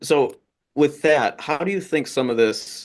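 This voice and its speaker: Speaking at a very slow pace, a man with vocal fry uses a fairly high pitch and very wide pitch swings. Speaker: research fellow and moderator. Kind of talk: interview.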